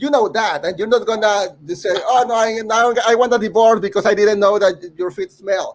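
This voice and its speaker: The speaker is a man with a high pitch. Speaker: composer. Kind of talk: casual chat. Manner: loud when passionate.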